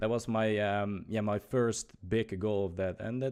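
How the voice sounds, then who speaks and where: With a Dutch accent, a man talks at a fairly slow pace and a medium pitch. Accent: Dutch accent, noticeable. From Netherlands. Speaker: youtuber and livestreamer. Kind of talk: casual podcast chat. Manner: halting, many fillers.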